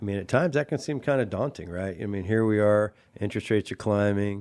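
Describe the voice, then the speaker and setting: In a very clean recording with a silent background, a man with a plain, everyday voice speaks at a fairly quick pace with an American accent and a fairly low pitch. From Washington State, US (Chelan valley). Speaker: radio show host. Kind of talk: casual interview chat.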